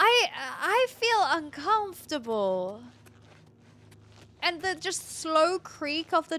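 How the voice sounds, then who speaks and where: A woman's high voice with very wide pitch swings, at a very slow pace. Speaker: video game streamer. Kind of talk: live gameplay commentary. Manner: animated.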